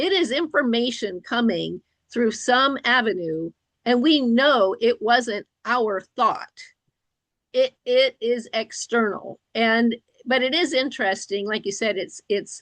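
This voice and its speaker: A woman talks at a very slow pace with lively intonation and a high pitch. The sound is dry and close, with no echo. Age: 60s. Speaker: licensed professional counselor and interviewer. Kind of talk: interview discussion.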